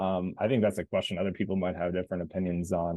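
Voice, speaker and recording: With an American accent, a man speaks at a very deep, low pitch. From Kansas, US. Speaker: content designer, former sports writer. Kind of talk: online Q&A panel. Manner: casual, many filler words.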